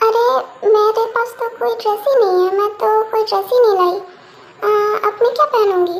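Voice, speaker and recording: This is a put-on character voice with fairly even intonation. The pace is fairly quick. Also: woman, extremely high pitch for a woman. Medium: read story. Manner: naive, expressive.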